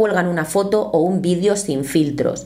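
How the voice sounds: With faint background noise behind her, a woman speaks in a fairly low pitch with a dark, mellow tone and ordinary pitch variation.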